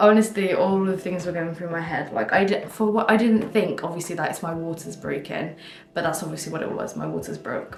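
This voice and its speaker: A woman with a British accent talks at a fairly quick pace, her fairly low pitch varying in ordinary ways. Music plays in the background, and room echo is audible. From UK. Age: 20s. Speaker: vlogger. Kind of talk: casual chat. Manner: casual, filler-heavy.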